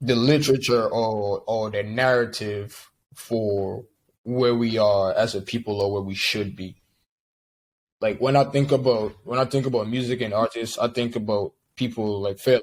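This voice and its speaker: Keeping a moderate pace, a man talks at a medium pitch with fairly even intonation. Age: 20s. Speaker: musician. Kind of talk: interview. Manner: halting, many repeated words.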